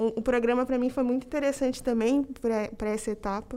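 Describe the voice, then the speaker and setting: A woman speaks at a fairly quick pace in a high pitch. Her intonation stays fairly even. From Campinas, São Paulo state, Brazil. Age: 20s. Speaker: corporate trainee, mechanical engineer. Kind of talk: casual interview chat.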